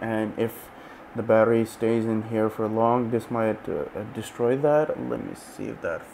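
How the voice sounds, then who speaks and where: Light background noise sits behind a man speaking in a flat monotone. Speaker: tech reviewer. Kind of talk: tutorial. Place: home room. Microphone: lapel.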